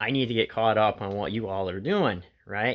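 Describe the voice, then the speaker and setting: Against a very clean, silent background, an unremarkable speaking voice moves at a fairly slow pace with ordinary pitch variation. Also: man. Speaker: potter. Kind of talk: casual vlog chat. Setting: home pottery studio.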